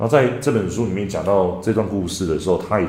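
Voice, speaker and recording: Noticeable background noise and audible room echo. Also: man. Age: 30s. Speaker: parenting coach and podcast host. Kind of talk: monologue book review.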